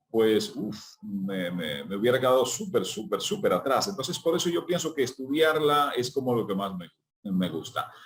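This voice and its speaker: A man of medium pitch talks at a moderate pace with very wide pitch swings. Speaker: journalist and announcer. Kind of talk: interview answer.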